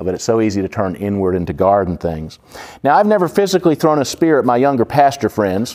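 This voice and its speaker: The delivery is very fast with very wide pitch swings, on a very clean recording with a silent background. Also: man, medium pitch for a man. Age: 50s. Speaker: pastor. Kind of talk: Bible study teaching. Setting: church with audience. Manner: conversational, filler-heavy.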